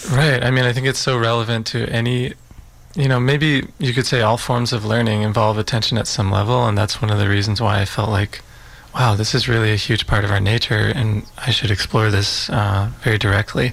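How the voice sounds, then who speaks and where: Over noticeable background noise, a man talks at a fairly quick pace. His medium-pitched voice holds very even loudness and fairly even intonation. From Utah, US. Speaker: filmmaker. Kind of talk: radio interview. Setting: radio studio. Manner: reflective, hesitant with fillers.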